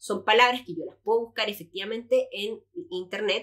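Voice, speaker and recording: A woman's fairly high-pitched voice. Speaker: employability expert and career coach. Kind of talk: podcast interview. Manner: fast.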